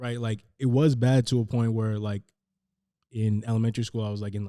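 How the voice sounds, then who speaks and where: Talking at a fairly quick pace with a Northern California accent, a man keeps a medium pitch, a dark, mellow tone and flat, monotone intonation. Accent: Northern California American. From San Francisco Bay Area, California. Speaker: rapper. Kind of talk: casual interview chat. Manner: hesitant, many fillers like 'like'.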